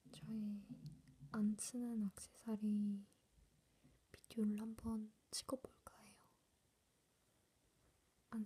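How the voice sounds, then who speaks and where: A woman whispers in a soft-spoken, somewhat breathy way. She leaves long pauses, and they come often. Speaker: ASMR creator. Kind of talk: ASMR show and tell. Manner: soft whisper. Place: home room. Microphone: phone near.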